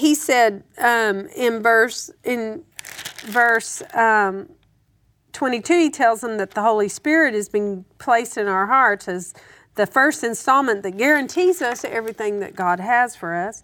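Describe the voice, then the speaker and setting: In an unremarkable speaking voice, a woman talks at a fairly slow pace. Her pitch is fairly high, with lively intonation. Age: 50s. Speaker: Bible teacher. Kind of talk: Bible teaching discussion.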